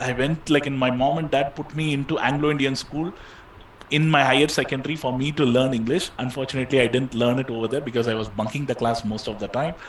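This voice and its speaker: Over noticeable background noise, a man talks very fast. His medium pitch keeps a fairly even intonation. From India, Chennai. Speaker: online course instructor. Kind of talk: live Q&A session.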